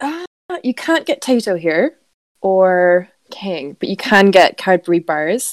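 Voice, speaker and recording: Speaking at a very slow pace, a woman with a medium-pitched voice uses lively intonation, recorded with a dry, close sound and no echo. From Ireland. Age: 20s. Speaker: podcast co-host. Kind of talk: casual chat.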